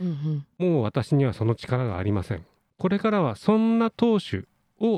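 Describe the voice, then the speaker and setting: This man's voice has a dark, mellow tone and very wide pitch swings, recorded dry and close with no echo. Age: 60s. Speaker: doctor and radio co-host. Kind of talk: casual radio talk.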